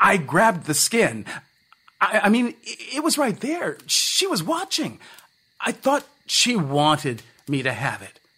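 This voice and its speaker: A man's put-on character voice, high-pitched and mumbling, with very wide pitch swings, a fairly slow pace and long, frequent pauses. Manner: mumbling, defensive, pleading.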